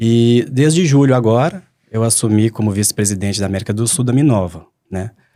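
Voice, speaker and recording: A man with a Minas Gerais accent, medium pitch and a dark, mellow tone, talking at a fairly quick pace with ordinary pitch variation. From Minas Gerais, Belo Horizonte. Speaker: mining company executive. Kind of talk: panel podcast conversation.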